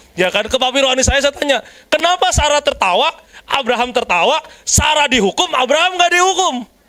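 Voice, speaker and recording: Raised and projected, a man's extremely high, animated voice races very fast with lively intonation and very even loudness. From Jakarta, Indonesia. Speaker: preacher. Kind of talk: sermon.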